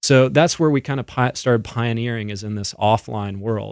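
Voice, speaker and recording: This man has a plain, everyday voice of medium pitch, ordinary pitch variation and a moderate pace, on a very clean recording with a silent background. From Canada. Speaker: ministry executive and lawyer. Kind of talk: radio interview.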